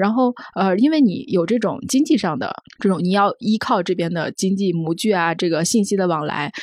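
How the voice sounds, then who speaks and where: A woman with an ordinary speaking voice talks at a moderate pace in a medium pitch with lively intonation, on a very clean recording with a silent background. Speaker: magazine journalist. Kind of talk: casual discussion.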